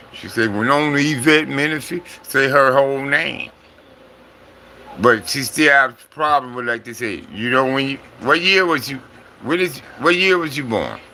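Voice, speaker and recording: Against noticeable background noise, a man with a fairly high pitch talks at a moderate pace, with long, frequent pauses and big swings in loudness. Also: ordinary pitch variation. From Compton, Los Angeles. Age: 60s. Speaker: livestreamer. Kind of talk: casual livestream chat. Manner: casual, repetitive.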